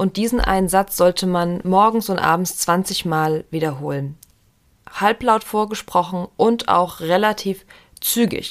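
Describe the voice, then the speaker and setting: A woman talks at a fairly slow pace with ordinary pitch variation. She has a plain, everyday voice. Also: medium pitch for a woman. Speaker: podcast host and meditation guide. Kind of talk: guided meditation, autosuggestion script read aloud. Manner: calm, slow, soothing, gently paced.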